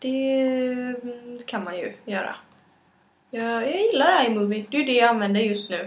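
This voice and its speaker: At a high pitch and a fairly slow pace, a woman talks with ordinary pitch variation amid audible room echo. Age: 20s. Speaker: podcast co-host. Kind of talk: casual chat. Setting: home kitchen.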